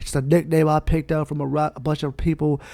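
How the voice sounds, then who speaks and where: A man with an American accent speaks very fast in a passionate tone. His voice is fairly high-pitched yet dark and mellow, recorded very cleanly against a silent background. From Brooklyn, New York (Brownsville). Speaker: podcast host. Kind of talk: motivational monologue. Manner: passionate, preacher-like delivery; animated.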